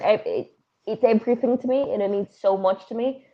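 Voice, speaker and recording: A woman speaks in an Irish accent at a moderate pace. Her intonation is fairly even. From Ireland. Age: 20s. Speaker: professional wrestler. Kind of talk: casual chat.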